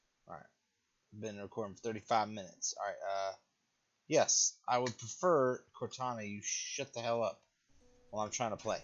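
With faint music in the background, a man speaks at a moderate pace, leaving long, frequent pauses. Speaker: gaming streamer. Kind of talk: gameplay commentary. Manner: casual, rambling self-talk. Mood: mildly frustrated, relaxed. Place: home room. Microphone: headset.

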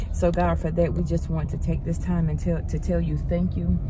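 Loud background noise runs under a dry sound with no echo. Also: woman. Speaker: mother vlogger. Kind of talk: casual vlog chat, then spoken prayer. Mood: calm, reverent during prayer. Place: car. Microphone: phone near.

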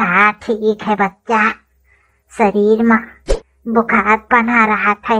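A woman uses a cartoonish character voice with a fairly high pitch and monotone, flat intonation. She speaks at a very slow pace with long, frequent pauses.

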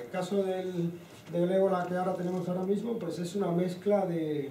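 Over light background noise, a man with a high pitch speaks amid audible room echo. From Cuba, Havana. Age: 40s. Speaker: physics professor and researcher. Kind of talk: lecture. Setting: lecture hall with audience. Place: classroom.

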